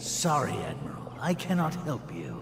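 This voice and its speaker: A man puts on a character voice at a fairly high pitch and a moderate pace. Loud background noise runs underneath. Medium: video game. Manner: haughty, self-assured.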